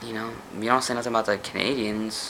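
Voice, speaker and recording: A man with an American accent and a fairly low pitch, amid noticeable background noise and audible room echo. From United States. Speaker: vlogger. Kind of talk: casual monologue vlog. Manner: animated.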